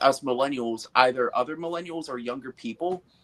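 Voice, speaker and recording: An unremarkable speaking voice is heard. The pace is moderate. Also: man. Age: 20s. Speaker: guest. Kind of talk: casual chat.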